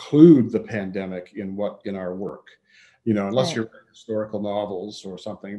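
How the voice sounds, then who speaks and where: A man talks in a normal speaking voice with a fairly low pitch and fairly even intonation. The background is quiet. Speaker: podcast guest. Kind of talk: interview answer. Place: home room. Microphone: video call.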